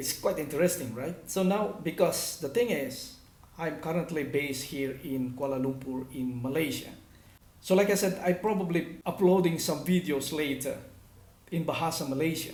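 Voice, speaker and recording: A man's fairly high voice at a moderate pace, with ordinary pitch variation and audible room echo. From Philippines, northern Luzon (Cagayan Valley). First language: Ilocano. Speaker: language teacher / vlogger. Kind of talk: tutorial.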